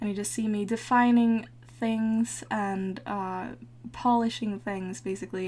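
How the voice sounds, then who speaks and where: A woman with a non-native accent talks fairly slowly at a medium pitch. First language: not English. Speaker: digital painter, art tutorial maker. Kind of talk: tutorial voice-over. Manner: casual, with frequent hesitations.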